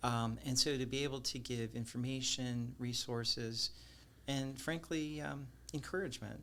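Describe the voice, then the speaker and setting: A man speaks in a normal speaking voice at a medium pitch, with ordinary pitch variation. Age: 60s. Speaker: wealth management executive. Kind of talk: interview conversation. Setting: podcast.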